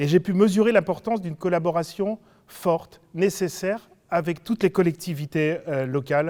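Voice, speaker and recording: This very clean recording with a silent background has a man speaking in a high pitch at a moderate pace with ordinary pitch variation. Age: 60s. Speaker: local politician, substitute candidate. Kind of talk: campaign self-introduction. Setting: video meeting recorded without audience. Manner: hesitant, many fillers.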